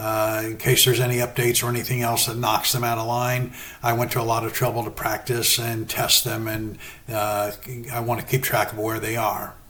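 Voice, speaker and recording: A man at a medium pitch, fairly quick and monotone with flat intonation, against noticeable background noise. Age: 60s. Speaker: sim racing gamer and novelist. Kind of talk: tutorial. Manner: casual, hesitant with fillers.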